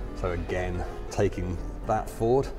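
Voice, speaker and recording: There is a man talking. Behind him, music comes through clearly. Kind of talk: interview answer. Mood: upbeat, positive. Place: hall. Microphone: lapel.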